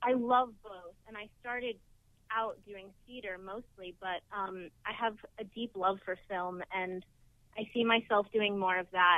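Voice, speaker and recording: A woman speaks at a fairly slow pace. The sound is dry with no echo, and the background is quiet. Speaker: actor being interviewed. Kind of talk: interview answer. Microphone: phone line.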